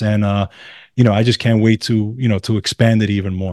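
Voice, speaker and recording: The speaker is a man with a medium pitch and a dark, mellow tone. He talks at a fairly quick pace in a dry, close sound with no echo. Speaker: musician and wellness podcaster. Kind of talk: casual chat.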